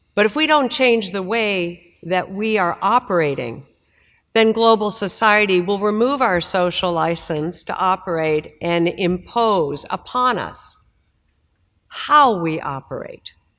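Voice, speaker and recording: A woman with an American accent and a normal speaking voice, medium pitch, lively intonation and a fairly slow pace, in a very clean recording with a silent background. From United States. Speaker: maritime industry association executive. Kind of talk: conference panel discussion.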